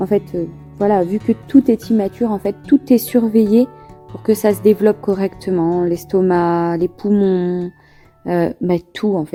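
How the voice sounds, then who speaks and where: A woman speaks at a fairly slow pace in a relaxed tone, her pitch medium with ordinary variation. Music plays in the background. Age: young. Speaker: mother of a premature baby. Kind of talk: interview answer. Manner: relaxed, simple, emotional.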